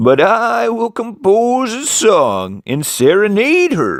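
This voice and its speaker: In a put-on character voice, a man speaks at a very slow pace and a high pitch, in a very clean recording with a silent background. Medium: read story.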